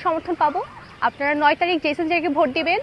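A high-pitched woman against noticeable background noise. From Bangladesh, Sirajganj (Ullapara). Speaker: student election candidate. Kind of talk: campaign appeal.

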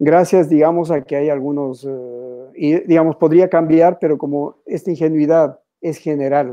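A man with a dark, mellow tone speaks at a fairly slow pace with fairly even intonation, over a quiet background. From Ecuador, Quito; Ecuador. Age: 60s. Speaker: painter; interviewee. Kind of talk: interview. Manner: halting. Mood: reflective, critical. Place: home room. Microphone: video call.

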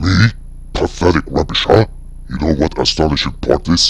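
Very deep and low-pitched, a man's voice moves at a moderate pace. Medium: machinima. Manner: gloating, mocking, menacing.

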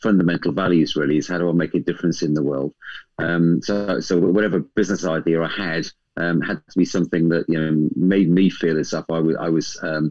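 With a very deep, low pitch, a man talks at a very fast pace and fairly even intonation against a quiet background. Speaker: guest. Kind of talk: interview answer. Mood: warm, a bit nervous. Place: home room. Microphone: video call.

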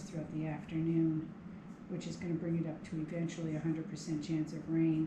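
A woman speaks in a low pitch for a woman. Background noise is clearly audible.

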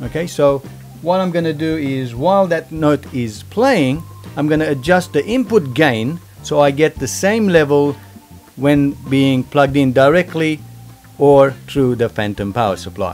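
A man talks fairly slowly while music plays faintly in the background. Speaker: home studio reviewer. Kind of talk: tutorial. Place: home room. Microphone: studio mic.

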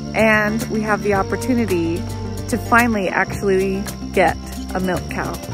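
Clear music plays behind this woman's speech. There is no echo, and the sound stays dry. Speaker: homesteader vlogger. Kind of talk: casual vlog chat. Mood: excited, hopeful. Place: garden. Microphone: phone near.

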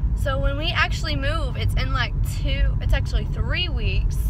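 A woman speaks at a moderate pace in a dry sound with no echo, against loud background noise. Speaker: vlogger. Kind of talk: casual vlog chat. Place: car. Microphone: phone near.

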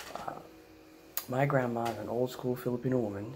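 Speaking with an American accent at medium pitch, a man keeps a fairly quick pace over noticeable background noise. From United States. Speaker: comedian. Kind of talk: stand-up comedy storytelling. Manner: casual, animated. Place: home room. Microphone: handheld.

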